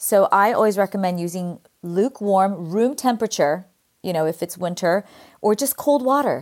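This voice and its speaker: A woman with an American accent speaks at a moderate pace, her medium-pitched voice carrying lively intonation. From California, US. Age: 50s.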